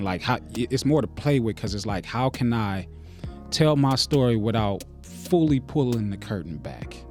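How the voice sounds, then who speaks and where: A man with an upbeat tone and lively intonation talks over music in the background. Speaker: podcast co-host and musician. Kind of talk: casual podcast talk.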